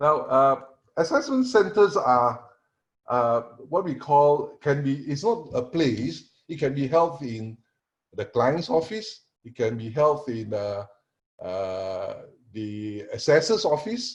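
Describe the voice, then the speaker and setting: Very slowly and somewhat breathily, a man with a fairly high pitch speaks with very wide pitch swings and big swings in loudness. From Singapore. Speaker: panelist, assessment and training consultant. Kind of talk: online panel presentation. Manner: halting, many fillers.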